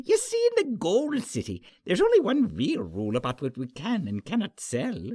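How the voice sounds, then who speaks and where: Moderate tempo in a man's put-on character voice. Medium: read story. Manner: chuckling, genial.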